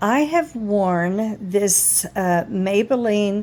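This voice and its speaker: A woman's fairly high voice, dark and mellow in tone, with lively intonation. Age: 60s. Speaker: makeup video creator. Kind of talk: tutorial. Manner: casual, halting.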